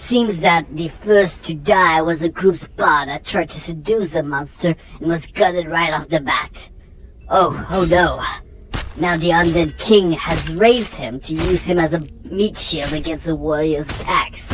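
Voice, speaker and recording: At a moderate pace, a female-sounding, put-on character voice speaks at a fairly low pitch against clear background noise. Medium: comedy sketch. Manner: breathless, excited.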